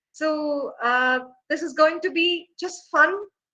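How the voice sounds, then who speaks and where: In an Indian accent, a woman speaks with an extremely high pitch, a bright, sharp tone and lively intonation. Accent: Indian English (Tamil). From India, Tamil Nadu. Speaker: professor. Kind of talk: lecture.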